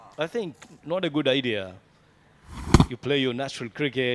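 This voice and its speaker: Noticeable background noise behind a man of medium pitch, speaking at a moderate tempo. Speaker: cricket commentator. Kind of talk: live commentary. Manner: halting.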